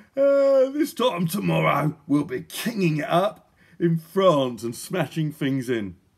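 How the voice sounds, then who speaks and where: Using a put-on character voice, a man speaks at a fairly slow pace in a high pitch with very wide pitch swings. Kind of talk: children's book reading with character voices. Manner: yawning, drowsy. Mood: playful, amused.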